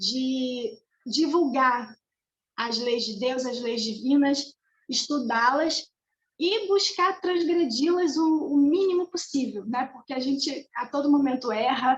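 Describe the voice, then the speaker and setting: Very slowly and with lively intonation, a woman speaks at a high pitch. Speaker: spiritist study presenter. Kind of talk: religious study lecture. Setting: video call.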